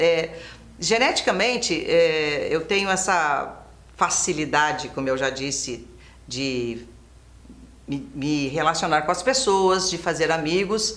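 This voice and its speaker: A woman delivers her words fairly slowly, and audible room echo surrounds her voice. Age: 60s. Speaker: former TV presenter. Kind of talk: interview. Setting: studio.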